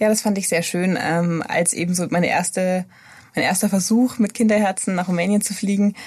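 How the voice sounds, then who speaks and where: Somewhat breathy and medium in pitch, a woman's voice moves at a fairly quick pace with fairly even intonation. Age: 30s. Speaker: pediatric intensive care nurse. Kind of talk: interview.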